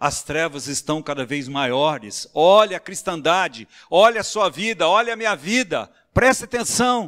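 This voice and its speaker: A man with a high pitch talks at a fairly slow pace, his pitch swinging very widely. Very clean recording, with a silent background. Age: 60s. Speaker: preacher. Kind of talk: sermon.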